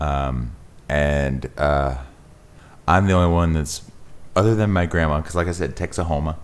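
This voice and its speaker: A man's very deep, low voice with ordinary pitch variation, moderate pace and long, frequent pauses, over noticeable background noise. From Texas (Denton). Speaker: musician and performer. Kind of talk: casual chat.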